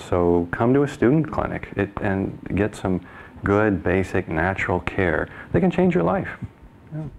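With light background noise, a man with a fairly low pitch speaks at a fairly slow pace using lively intonation. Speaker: naturopathic doctor. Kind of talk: radio interview answer. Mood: warm, enthusiastic. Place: studio.

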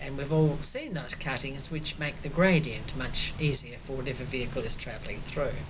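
Her voice is very deep and low for a woman. The woman keeps a moderate pace while noticeable background noise runs underneath. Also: fairly even intonation, hardly any pauses. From Australia. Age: 70s. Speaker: quilt artist. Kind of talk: artist talk. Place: home room. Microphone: webcam.

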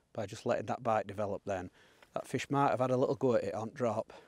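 A slightly mellow tone comes at a fast pace with ordinary pitch variation. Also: man, fairly low pitch for a man.

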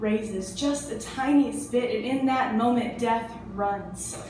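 Over light background noise with audible room echo, a woman talks at a very slow pace in a fairly high pitch. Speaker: spoken word performer. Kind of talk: spoken word poetry performance. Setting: live venue. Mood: hushed, dramatic storytelling. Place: cafe.

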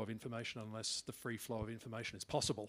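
A man with an Australian accent talks very fast. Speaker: head of a regional internet address registry. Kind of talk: workshop discussion. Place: meeting room. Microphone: podium.

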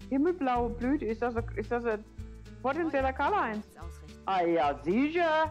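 Over music in the background, a woman with a high voice speaks at a fairly slow pace with long, frequent pauses, very even loudness and very wide pitch swings. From Palatinate, Germany. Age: old. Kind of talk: casual gameplay commentary. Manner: chatty.

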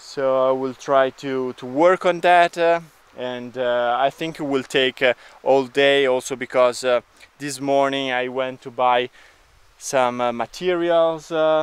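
A man speaks at a very slow pace with fairly even intonation. The sound is dry, with no echo. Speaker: vlogger. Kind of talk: casual vlog chat. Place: garden. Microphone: phone near.

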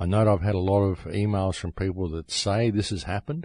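Over a quiet background, a man with a very deep, low pitch talks at a fairly quick pace with fairly even intonation. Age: 50s. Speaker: radio host. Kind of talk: monologue radio talk.

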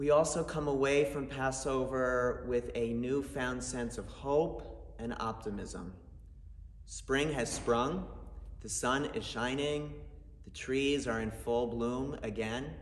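A man speaks at a very slow pace with fairly even intonation, and audible room echo surrounds his voice. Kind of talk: holiday message to congregation. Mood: warm, hopeful.

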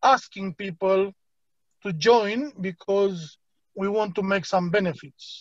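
A man with a Romanian accent talks at a very slow pace in a high voice. The background is quiet. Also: dry sound with no echo. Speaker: crypto platform team leader. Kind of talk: online presentation. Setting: video call. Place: home room. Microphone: video call.

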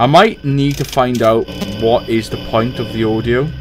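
Clear music plays in the background as a man speaks at a fairly slow pace. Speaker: gaming video creator. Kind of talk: gameplay commentary. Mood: casual, sometimes tense. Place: home room.

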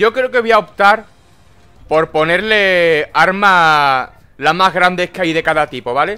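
A man's high, bright, sharp voice moves at a fairly slow pace. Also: ordinary pitch variation. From Spain. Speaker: gaming YouTuber. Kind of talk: angry rant while gaming, swearing at the screen in a furious gameplay commentary. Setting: home recording while playing a video game. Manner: loud, explosive and exasperated, spitting curses and repeating phrases; snapping in rage, then trying to calm himself down. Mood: angry, frustrated ranting.

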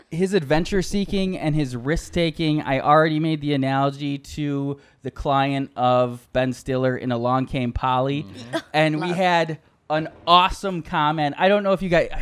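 This man uses a plain, everyday voice, pitched fairly high, with ordinary pitch variation at a moderate pace. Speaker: comedy podcast host. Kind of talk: casual chat.

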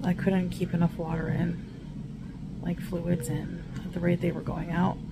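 A woman talks at a moderate pace with music playing in the background. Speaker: vlogger. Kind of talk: casual vlog chat. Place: car. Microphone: phone near.

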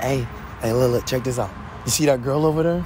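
A man speaks with a fairly high pitch and ordinary pitch variation. The sound is dry with no echo, though background noise is noticeable. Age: 20s. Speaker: prank video creator. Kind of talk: street prank interview. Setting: outdoors. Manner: animated. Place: street.

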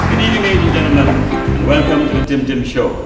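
Very fast speech from a man comes with noticeable background noise and audible room echo. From Trinidad and Grenada. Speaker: storyteller. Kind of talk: live storytelling show to an audience. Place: stage.

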